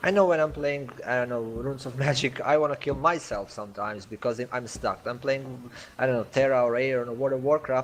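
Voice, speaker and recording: A man speaks at a very fast pace. His voice sits at medium pitch with fairly even intonation. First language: not English. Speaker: game community manager. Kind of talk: online community Q&A meeting. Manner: halting.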